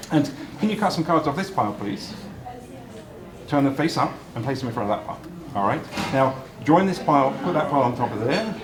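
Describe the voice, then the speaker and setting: A man with a British accent talks at a very fast pace in a fairly high pitch with lively intonation, yet leaves long, frequent pauses. Noticeable background noise and audible room echo fill the recording. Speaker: magician. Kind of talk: magic show patter. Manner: animated.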